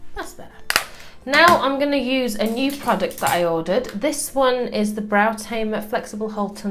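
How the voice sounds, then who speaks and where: With music in the background, a woman with a British accent speaks at a moderate pace. Her fairly high voice has lively intonation. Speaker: beauty vlogger. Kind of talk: makeup tutorial talk to camera.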